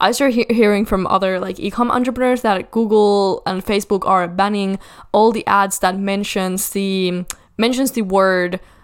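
Her pitch sits in the medium range for a woman. The intonation stays fairly even. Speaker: podcast host, e-commerce coach. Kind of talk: solo podcast monologue. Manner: fast; stumbling, many fillers.

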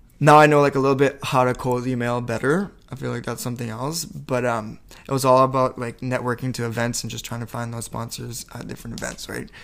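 Over noticeable background noise, the speech runs at a very fast pace with fairly even intonation and big swings in loudness. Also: man, medium pitch for a man. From New Brunswick, Canada. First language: French. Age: 20s. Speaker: fashion entrepreneur and student. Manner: casual, chatty, hesitant with fillers.

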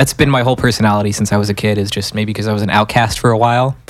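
In a normal speaking voice, a man talks with fairly low pitch and fairly even intonation. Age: 20s. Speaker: musician, band frontman. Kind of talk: casual chat. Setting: studio.

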